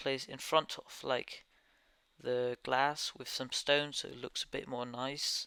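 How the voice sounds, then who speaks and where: Very slow speech with a Danish accent comes through in a bright, sharp tone and monotone, flat intonation, the sound dry and close with no echo. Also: man. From Denmark. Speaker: gaming YouTuber. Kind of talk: gameplay commentary over time lapse. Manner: halting.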